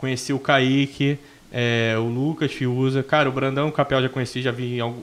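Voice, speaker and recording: A man's medium-pitched voice, monotone and flat in intonation. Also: moderate pace. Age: 20s. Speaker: bodybuilding coach and athlete. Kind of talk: casual chat.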